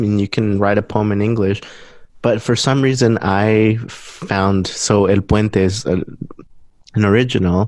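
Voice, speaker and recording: A man speaks with a Spanish accent. His pace is fairly slow. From Guatemala. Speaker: musician. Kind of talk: interview. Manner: halting.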